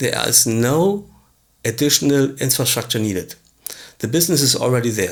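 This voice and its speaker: A man's medium-pitched voice with a non-native accent and lively intonation. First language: not English. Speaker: business coach / tutorial presenter. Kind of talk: tutorial. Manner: halting, with fillers.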